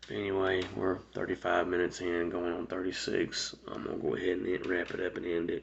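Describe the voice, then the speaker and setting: A quiet man with a Georgia accent, fairly quick and with hardly any pauses. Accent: US Southern (Georgia). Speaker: vlogger telling life story. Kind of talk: personal storytelling monologue. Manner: quiet, speaking low; halting, many fillers.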